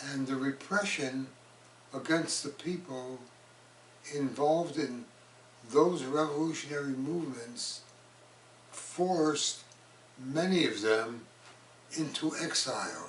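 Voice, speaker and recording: A man with a New York accent speaks at a very slow pace in a fairly high pitch, with ordinary pitch variation and long, frequent pauses. Audible room echo and noticeable background noise fill the recording. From New York City, the Bronx area. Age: 80s+. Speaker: human rights activist and artist. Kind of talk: interview monologue.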